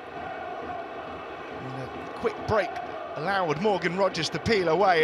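There is noticeable background noise behind a man speaking with a British accent. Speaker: football commentator. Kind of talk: live football commentary over match highlights. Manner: animated; fluent.

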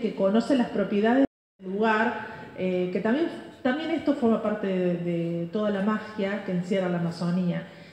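In a Cordoba accent, a woman with a medium pitch and ordinary pitch variation talks at a moderate pace amid audible room echo. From Argentina, Córdoba; Argentina. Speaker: journalist and researcher; journalist. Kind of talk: conference talk. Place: stage.

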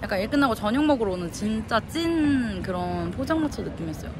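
A woman speaks at a fairly quick pace while noticeable background noise carries on behind her. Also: dry sound with no echo. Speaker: travel vlogger. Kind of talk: casual vlog chat. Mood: cheerful, laughing. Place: street. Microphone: phone near.

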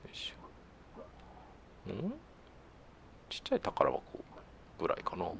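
Whispering at a moderate pace, a man leaves long, frequent pauses while noticeable background noise runs underneath. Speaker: gamer doing let's play commentary. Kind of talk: casual game commentary.

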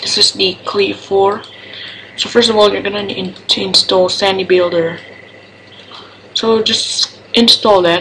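Fairly slow speech with a non-native accent amid noticeable background noise. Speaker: gaming tutorial maker. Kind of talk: casual screen-recorded tutorial.

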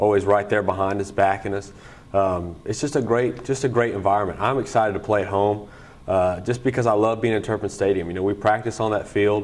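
This is a man's voice. He talks fairly quickly with fairly even intonation. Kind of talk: interview answer. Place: meeting room.

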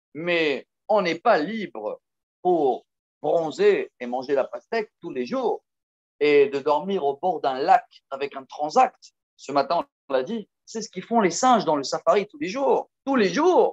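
Over a quiet background, a man speaks at a very slow pace, his pitch swinging very widely and his loudness shifting in big swings. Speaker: religious teacher. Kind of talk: sermon. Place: home room. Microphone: video call.

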